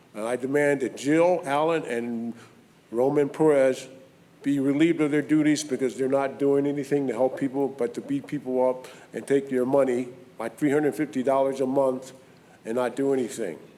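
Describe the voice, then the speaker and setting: Noticeable background noise sits behind the speech. Delivery is at a moderate pace with fairly even intonation. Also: man, fairly high pitch for a man. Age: 70s. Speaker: public commenter. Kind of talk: public comment at council meeting. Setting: city council meeting. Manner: emphatic.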